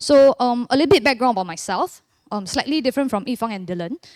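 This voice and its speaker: A woman at a very fast pace with ordinary pitch variation, in a very clean recording with a silent background and a dry, close sound with no echo. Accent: Singaporean. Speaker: church member giving testimony. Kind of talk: testimony.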